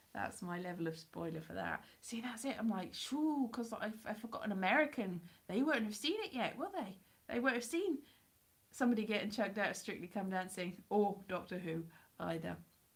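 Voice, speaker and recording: A woman with a medium pitch and a somewhat breathy voice talks in an animated tone at a fairly quick pace with lively intonation. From Wales. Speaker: YouTuber. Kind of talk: casual live stream chat. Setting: live stream at home. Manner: animated, rambling and chatty.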